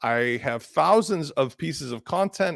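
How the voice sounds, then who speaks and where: The recording is very clean and the background silent. His voice shows vocal fry, and the man's pitch swings very widely. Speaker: conference speaker on WordPress. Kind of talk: conference presentation. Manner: fast.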